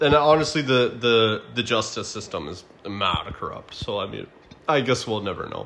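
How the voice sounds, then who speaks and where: Amid noticeable background noise, a man speaks at a medium pitch with lively intonation. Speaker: podcast host. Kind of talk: casual chat.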